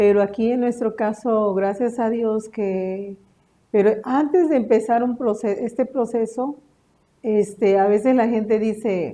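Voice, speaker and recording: Speaking at a fairly slow pace, a woman with a fairly high pitch and a dark, mellow tone keeps her intonation fairly even. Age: 50s. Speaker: homemaker, cancer patient's wife. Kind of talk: interview testimony. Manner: halting, many fillers.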